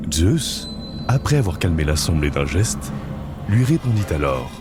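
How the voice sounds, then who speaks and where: Over music in the background, a man with a very deep, low pitch talks at a fairly slow pace, his intonation lively and his loudness very even. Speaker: voice actor in training. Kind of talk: mythological story narration. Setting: studio.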